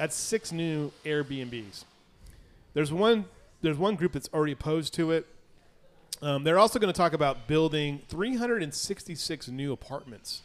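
This man has a plain, everyday voice, pitched fairly high. He speaks at a fairly slow pace with lively intonation. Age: 50s. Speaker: local news show host. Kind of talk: casual chat.

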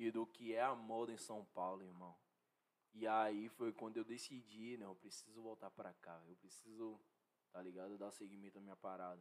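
At a moderate pace, a man with an ordinary speaking voice talks at a fairly low pitch, his intonation fairly even but his loudness swinging widely. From Brazil, Salvador (Bahia). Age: 20s. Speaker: fashion model. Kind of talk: casual interview chat.

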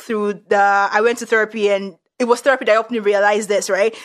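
In a Nigerian accent, a woman speaks at a fairly quick pace with a fairly high pitch. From Nigeria, Yoruba. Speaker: podcast host. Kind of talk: casual conversational chat.

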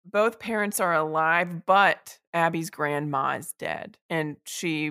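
A woman with a fairly low pitch and ordinary pitch variation talks with hardly any pauses, her tone bright and sharp, in a very clean recording with a silent background and a dry, close sound with no echo. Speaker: podcast co-host. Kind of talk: casual chat.

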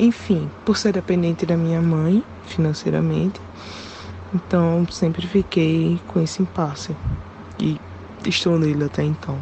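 A woman talks at a fairly slow pace, pausing long and often. Noticeable background noise is present. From Pernambuco, Brazil. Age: 20s. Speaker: listener sending a voice message. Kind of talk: recorded voice message.

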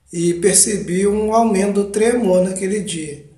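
A man is speaking. There is audible room echo. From Brazil, Minas Gerais (Ubá). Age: 30s. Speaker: podcast host, Parkinson's patient. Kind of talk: personal narration, monologue.

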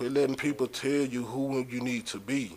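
Moderate pacing from a man at medium pitch, noticeable background noise behind him. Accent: American. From Dallas, Texas. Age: 30s. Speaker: rapper and entrepreneur. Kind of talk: casual chat.

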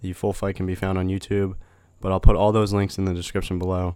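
Recorded very cleanly against a silent background, a man speaks in a fairly low pitch. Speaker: podcast host. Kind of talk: podcast intro monologue.

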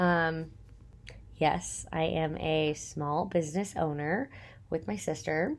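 In a Texan accent, a woman with a very deep, low pitch speaks at a very slow pace with ordinary pitch variation and long, frequent pauses, on a very clean recording with a silent background. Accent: Texan (US Southern). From Texas. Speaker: podcast host and small business owner. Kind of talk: casual solo monologue. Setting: recording at home in apartment. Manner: chatty, many fillers and laughs.

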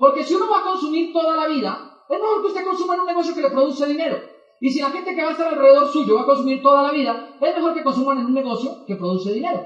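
A man speaks very fast at an extremely high pitch, with lively intonation and hardly any pauses. The recording carries audible room echo and noticeable background noise. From Colombia, Boyacá. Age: 20s. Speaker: network marketing motivational speaker. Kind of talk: motivational talk.

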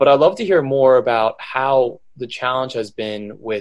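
This man has a plain, everyday voice, talking at a moderate pace with fairly even intonation. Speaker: podcast co-host. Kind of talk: podcast interview.

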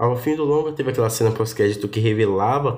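Somewhat breathy speech comes at a fairly quick pace with ordinary pitch variation and audible room echo. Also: man. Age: 20s. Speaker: podcast host. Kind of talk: personal monologue, casual.

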